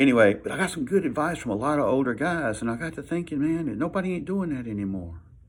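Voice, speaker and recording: In a Southern US accent, a man talks at a very fast pace with very wide pitch swings on a very clean recording with a silent background. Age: 60s. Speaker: vlogger, military veteran. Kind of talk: casual talk to camera. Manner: halting, repeats words.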